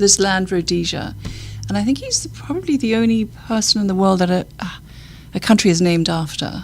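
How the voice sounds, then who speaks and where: A woman with a British accent at a fairly quick pace, music in the background. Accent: British-sounding. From Zimbabwe. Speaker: charity worker. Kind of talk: podcast interview.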